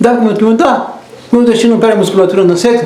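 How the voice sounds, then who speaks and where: A man's high-pitched voice in a room with audible echo and noticeable background noise. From southern Brazil (Rio Grande do Sul). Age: 80s+. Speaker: doctor. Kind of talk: interview. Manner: animated.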